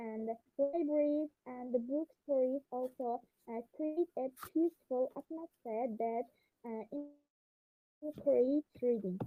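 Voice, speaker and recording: A quiet woman's voice, high in pitch with ordinary pitch variation, at a very slow pace with long, frequent pauses. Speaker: debate club participant. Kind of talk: debate argument. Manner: halting. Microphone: far from device, too quiet.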